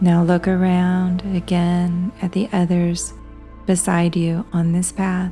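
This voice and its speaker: Over music in the background, a woman with a fairly low pitch speaks very slowly in a monotone, flat intonation at very even loudness. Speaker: hypnotherapist. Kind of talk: guided hypnosis. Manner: slow, soft-spoken.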